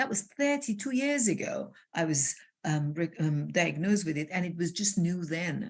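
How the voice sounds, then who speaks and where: A woman speaks at a moderate pace in a somewhat breathy voice. Her pitch swings very widely. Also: fairly low pitch for a woman. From Iran. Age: 60s. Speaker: transformational coach. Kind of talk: interview conversation. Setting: live video call. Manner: animated.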